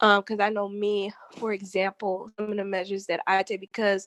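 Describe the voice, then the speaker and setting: The delivery is monotone and flat at a moderate pace, with a dry, close sound and no echo. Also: woman. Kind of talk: casual group discussion.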